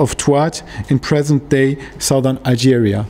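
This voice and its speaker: This man's voice sits at a fairly high pitch. He speaks at a moderate pace with ordinary pitch variation. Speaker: academic researcher. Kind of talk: lecture. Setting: workshop with audience. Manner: halting, searching for words. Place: meeting room. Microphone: studio mic.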